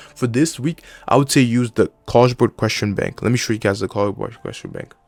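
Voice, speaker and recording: A man with a non-native accent speaks at a very fast pace, the sound dry and close with no echo. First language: not English. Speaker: student giving study advice. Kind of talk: tutorial. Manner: casual, with fillers and restarts.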